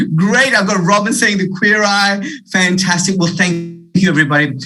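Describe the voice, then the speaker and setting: A man with an Australian accent speaks in a raised, projected voice at a moderate pace. His pitch is high with ordinary variation, heard through noticeable background noise and audible room echo. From Australia, Wollongong area (Illawarra), born in India. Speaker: keynote speaker, leadership consultant. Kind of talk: keynote address. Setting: video call. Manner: animated.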